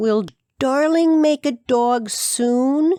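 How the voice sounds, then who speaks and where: A female-sounding voice speaks at a high pitch. It is a put-on character voice. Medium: read story. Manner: eager, earnest.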